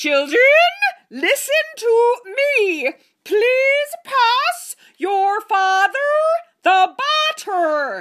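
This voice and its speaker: A female-sounding voice puts on a character voice, pitched extremely high and delivered at a very slow pace. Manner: strained, forced.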